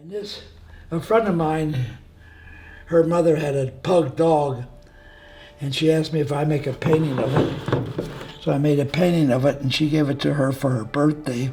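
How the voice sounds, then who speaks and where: A man with a fairly high pitch and fairly even intonation at a moderate pace, with long, frequent pauses and noticeable background noise. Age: 90s. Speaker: retired painter and war veteran. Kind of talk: casual interview.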